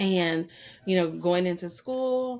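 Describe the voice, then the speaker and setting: With an American accent, a woman speaks at a moderate pace and a fairly low pitch. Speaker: educational consultant. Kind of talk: interview podcast. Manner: enthusiastic.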